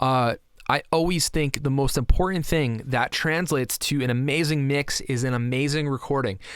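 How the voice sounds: A man speaks at medium pitch and a moderate pace, with his pitch varying in an ordinary way.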